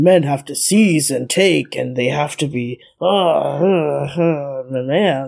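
A woman uses a put-on character voice at a very deep, low pitch. She speaks at a fairly slow pace. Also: ordinary pitch variation. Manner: mock, exaggerated.

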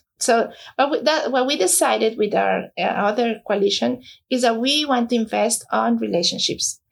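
A woman with a Spanish accent at a moderate pace, her loudness very even. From Mexico. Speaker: nonprofit founder. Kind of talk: interview. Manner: halting, many fillers.

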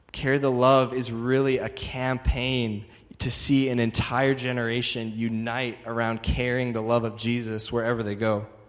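A man talks at medium pitch in a monotone, flat intonation, with hardly any pauses. Music plays in the background and the room echo is audible. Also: moderate pace. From Calgary, Canada. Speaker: traveling evangelist. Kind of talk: sermon.

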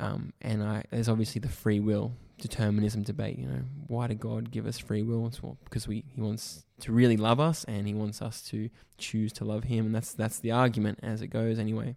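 Speaking in an Australian accent, a man has a dark, mellow tone. His pitch is fairly low, with ordinary variation. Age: 20s. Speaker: church youth ministry worker. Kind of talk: casual chat.

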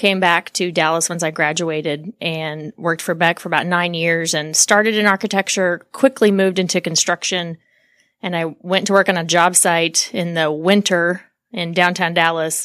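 In an American accent, a woman speaks at a fairly low pitch and moderate pace with fairly even intonation, in an unremarkable speaking voice. The recording is very clean, with a silent background and a dry, close sound with no echo. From Oklahoma, US. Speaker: construction association executive. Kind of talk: interview conversation.

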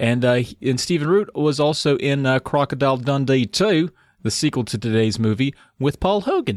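In a Southern US accent, a man speaks with a playful tone, lively intonation, and a fairly high pitch at a moderate pace. The sound is dry and close, with no echo. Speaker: podcast co-host. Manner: joking, playful.

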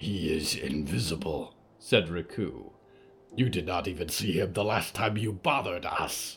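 A man's put-on character voice, growling and very deep and low, at a moderate pace. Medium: audio drama. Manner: gruff, formal and hostile.

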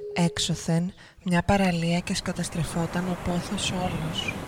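Over music in the background, a woman speaks at a very slow pace. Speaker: narrator of own poem. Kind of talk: spoken-word poetry, performed monologue. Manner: rhythmic, incantatory, with clipped fragmented phrasing.

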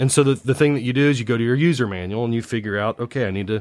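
A man speaks at a very fast pace with a US Midwestern accent, in a very clean recording with a silent background. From Indiana, US Midwest. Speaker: infrastructure asset management consultant. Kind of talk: podcast interview. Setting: recorded on location. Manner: hesitant, many fillers and repetitions.

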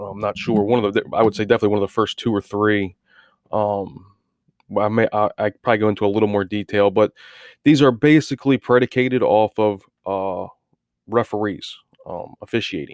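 The speech runs at a fairly quick pace with fairly even intonation, broken by long, frequent pauses. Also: man, fairly low pitch for a man. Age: 30s. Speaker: sports betting podcaster. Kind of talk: casual monologue. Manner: casual with many fillers.

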